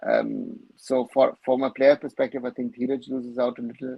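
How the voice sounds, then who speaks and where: In a German accent, a man talks at a moderate pace. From Germany. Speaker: football commentator, live-stream host. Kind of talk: live-stream Q&A, reading viewer questions. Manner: casual, with many fillers.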